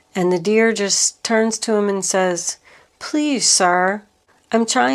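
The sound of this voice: The voice heard here is an unforced reading voice.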